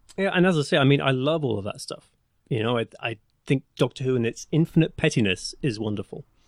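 In an English accent, a man speaks at a very fast pace with lively intonation and a medium pitch, in a dry, close sound with no echo. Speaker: podcast co-producer. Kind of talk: casual chat.

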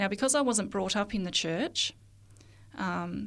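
This voice carries vocal fry and an Australian accent at a moderate pace. The recording is very clean, with a silent background. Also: woman. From Australia, rural northeast Victoria. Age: 40s. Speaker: children's TV and radio producer. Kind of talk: interview.

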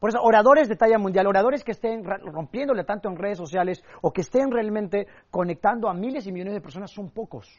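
Talking at a very fast pace with hardly any pauses, a man uses a high pitch, ordinary pitch variation, an animated tone and big swings in loudness. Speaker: public speaking coach. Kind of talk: seminar lecture. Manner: animated, varied pitch and pace.

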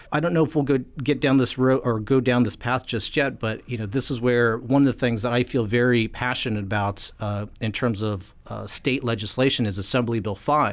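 A plain, everyday voice with an American accent moves at a fairly quick pace with hardly any pauses. The recording is very clean, with a silent background. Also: man, medium pitch for a man, fairly even intonation. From California. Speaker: podcast host. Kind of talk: interview.

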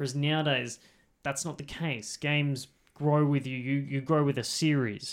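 A man with an Australian accent speaks at a fairly high pitch in a flat monotone, at a moderate pace. The recording is very clean with a silent background. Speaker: podcast co-host. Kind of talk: casual chat.

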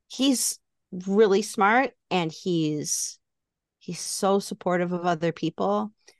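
With a quiet background, a woman of medium pitch speaks very slowly using lively intonation. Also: dry, close sound with no echo. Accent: American.

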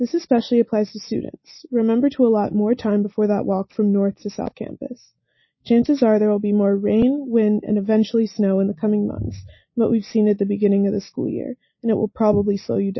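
At a fairly quick pace, a woman with a fairly high, somewhat breathy voice speaks with fairly even intonation. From Atlanta, Georgia. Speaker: student radio weather presenter. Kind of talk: scripted weather report.

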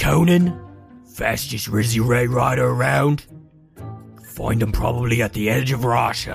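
A man does a put-on character voice, raspy and medium in pitch, with lively intonation at a moderate pace. Faint music plays in the background. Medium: actual play. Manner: gruff, clipped, street-tough.

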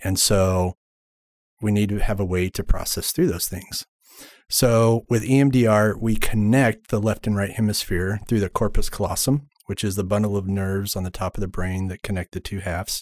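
A man with an unremarkable speaking voice and fairly low pitch keeps a moderate pace and fairly even intonation, in a very clean recording with a silent background and a dry, close sound with no echo. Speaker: EMDR therapist. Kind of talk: podcast interview.

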